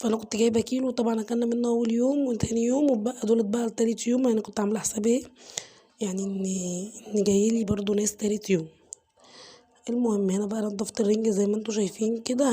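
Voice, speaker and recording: Someone talks at a very fast pace in a monotone, flat delivery, with noticeable background noise behind. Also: woman. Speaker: home cooking vlogger. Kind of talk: cooking tutorial. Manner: casual, chatty.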